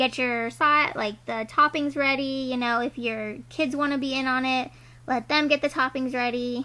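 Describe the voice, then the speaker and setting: Her voice raised and projected, a woman speaks at a moderate pace with a high pitch and a bright, sharp tone. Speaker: lifestyle vlogger. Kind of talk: tutorial. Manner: casual, filler-heavy.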